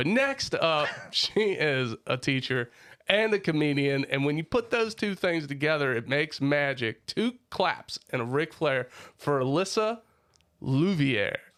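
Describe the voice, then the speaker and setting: At a fairly slow pace and very even loudness, the speaker has an animated tone and lively intonation. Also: man, fairly high pitch for a man. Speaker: podcast host. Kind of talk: casual chat; scripted intro.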